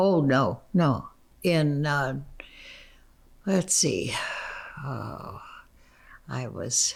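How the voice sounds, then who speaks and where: Very slowly and with long, frequent pauses, a woman speaks at a very deep, low pitch with vocal fry and very wide pitch swings. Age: 80s+. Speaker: interviewee recalling her life. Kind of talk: interview answer.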